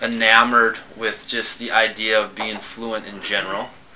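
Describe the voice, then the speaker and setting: A man is talking. There is noticeable background noise. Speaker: stuttering program participant, engineer. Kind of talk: casual chat. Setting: podcast recorded at a convention. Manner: stuttering.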